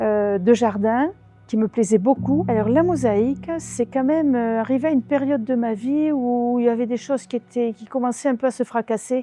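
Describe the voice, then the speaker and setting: A woman talks at a moderate pace in a high voice with ordinary pitch variation. The sound is dry and close with no echo, and music plays in the background. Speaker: mosaic artist. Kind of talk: interview.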